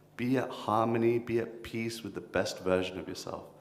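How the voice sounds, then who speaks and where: A man with a London accent talks at a moderate pace and medium pitch, with ordinary pitch variation. Audible room echo is present. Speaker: kirtan leader and spiritual speaker. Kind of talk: workshop talk. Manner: animated.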